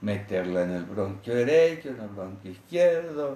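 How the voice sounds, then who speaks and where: Somewhat breathy and dark, mellow in tone, a man's medium-pitched voice moves through very wide pitch swings at a fairly slow pace, with audible room echo. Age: 70s. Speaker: physician. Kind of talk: interview, storytelling.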